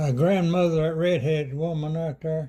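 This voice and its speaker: With an Appalachian accent, a man speaks in a fairly high pitch with a dark, mellow tone. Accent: Appalachian Southern US. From Claiborne County, East Tennessee. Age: 80s+. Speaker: elderly rural interviewee. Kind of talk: oral history interview. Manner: halting.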